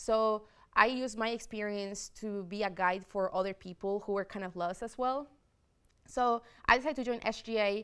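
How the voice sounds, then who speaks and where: A woman speaks with a slight Spanish accent. The recording is very clean, with a silent background. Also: fairly high pitch for a woman, fairly even intonation, moderate pace. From Spain, Madrid. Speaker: student government president-elect. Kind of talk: interview.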